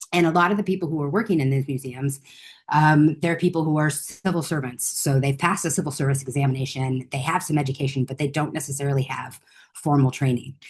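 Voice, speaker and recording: Speaking at a very fast pace with an American accent, a woman has a very deep, low pitch, a somewhat breathy quality and ordinary pitch variation. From United States. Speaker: conservator and researcher. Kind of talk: conference presentation. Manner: casual, with many fillers.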